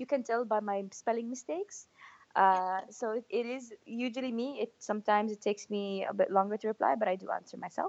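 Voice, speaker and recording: Speaking at a fairly quick pace with an Arabic accent, a woman uses a fairly high pitch and ordinary pitch variation. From Saudi Arabia. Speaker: mountaineer and public speaker. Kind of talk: interview. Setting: phone or video call.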